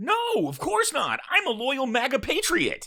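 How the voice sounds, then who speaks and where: A put-on character voice, high in pitch with very wide pitch swings, moves at a moderate pace. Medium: comedy sketch. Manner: evasive, indignant.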